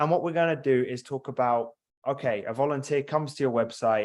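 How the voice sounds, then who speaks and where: A man talks at a fairly quick pace with a British accent. His pitch varies in an ordinary way, and the background is quiet. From UK. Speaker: software company representative. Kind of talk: product demo presentation. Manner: fast.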